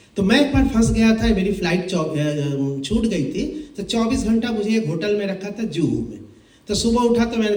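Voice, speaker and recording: A man's high-pitched voice with lively intonation at a moderate pace, with audible room echo and noticeable background noise. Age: 60s. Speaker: classical music composer and lecturer. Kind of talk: lecture. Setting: seminar hall with students.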